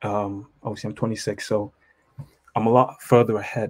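A man's fairly low voice with a British accent and monotone, flat intonation. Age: 20s. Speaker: accountant. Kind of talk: call-in question.

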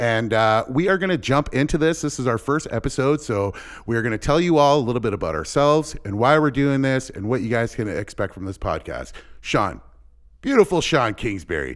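In a Canadian accent, a man speaks at medium pitch with lively intonation and an unremarkable speaking voice. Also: fairly quick pace. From Windsor, Ontario, Canada. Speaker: podcast host. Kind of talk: casual chat.

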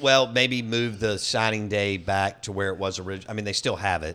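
A man with a Southern US accent speaks fairly quickly in a fairly low pitch, his tone bright and sharp. The recording is very clean, with a silent background. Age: 40s. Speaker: sports radio host. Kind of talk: casual chat. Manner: animated.

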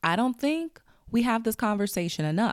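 An animated woman, fairly high-pitched with lively intonation, in a very clean recording with a silent background. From Chicago South Side. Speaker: podcast host. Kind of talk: casual monologue.

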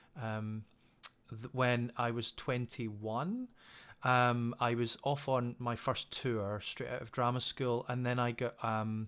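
A man speaks in a west of Scotland accent at a medium pitch. The recording is very clean, with a silent background. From west coast of Scotland. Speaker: singing teacher. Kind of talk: interview. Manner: hesitant, many fillers.

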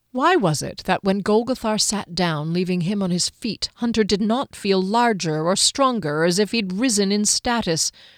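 Someone reads aloud plainly. Nothing more is added to the delivery.

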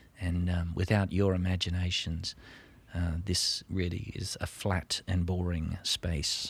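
A man with an Australian accent, very deep, low pitch and a somewhat breathy sound, monotone and flat, at a fairly slow pace, on a very clean recording with a silent background. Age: 50s. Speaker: stage actor. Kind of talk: casual interview.

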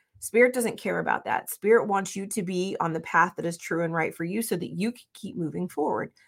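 A woman speaks at a medium pitch with an animated tone and vocal fry. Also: hardly any pauses, very clean recording, silent background. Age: 50s. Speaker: spiritual podcaster. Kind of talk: guided meditation; casual solo talk. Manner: slow, calm, soothing; gentle, instructive.

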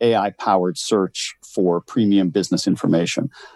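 An unremarkable speaking voice from a man with a Canadian accent, fairly even intonation, dry, close sound with no echo, on a very clean recording with a silent background. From rural Canada. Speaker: HR executive. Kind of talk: interview.

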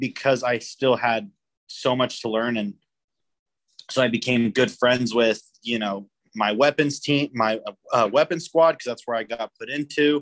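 A man with an unremarkable speaking voice talks in a medium pitch at a moderate pace. His pitch varies in an ordinary way, and the sound is dry and close with no echo. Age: 20s. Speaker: army soldier. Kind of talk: casual chat.

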